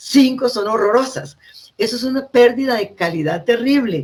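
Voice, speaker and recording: Her pitch is high, and her intonation is lively. The woman speaks at a fairly slow pace. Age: 70s. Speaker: librarian and education consultant. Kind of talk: talk.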